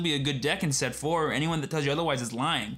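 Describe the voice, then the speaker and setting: Talking at a very fast pace, a man uses a fairly high pitch with ordinary pitch variation, and audible room echo surrounds him. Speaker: card game streamer. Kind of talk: live stream chat. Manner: halting, repeated words.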